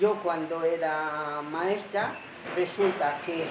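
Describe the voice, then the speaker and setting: Over noticeable background noise and audible room echo, a woman with a fairly low pitch speaks very slowly with fairly even intonation. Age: 80s+. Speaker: retired teacher and psychologist. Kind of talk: interview.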